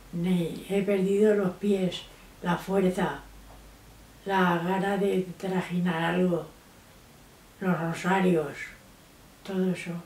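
A woman talks very slowly in a flat monotone, leaving long, frequent pauses, with audible room echo. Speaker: grandmother interviewed. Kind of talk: interview answer. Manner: slow, hesitant. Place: home room.

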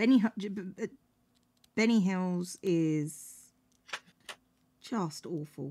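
A woman's medium-pitched voice with a British accent, dark and mellow in tone, at a very slow pace with long, frequent pauses and ordinary pitch variation. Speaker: streamer. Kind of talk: casual chat. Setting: home stream with a cat.

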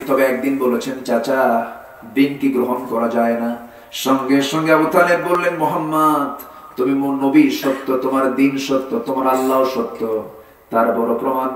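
The speaker is a man with a medium pitch. Audible room echo surrounds his voice. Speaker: Islamic preacher giving a waz sermon. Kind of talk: Islamic sermon (waz) delivered to a live audience. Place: stage.

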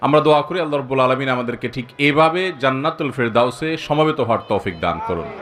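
Lively intonation in a man's medium-pitched voice, noticeable background noise behind it. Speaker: Islamic preacher. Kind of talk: sermon.

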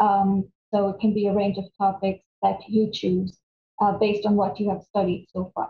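A woman's monotone, flat delivery at a moderate pace, with audible room echo and light background noise. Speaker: academic coordinator. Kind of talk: webinar presentation. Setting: video call. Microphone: webcam.

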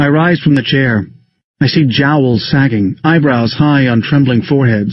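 An unforced reading voice with ordinary pitch variation comes across over a quiet background.

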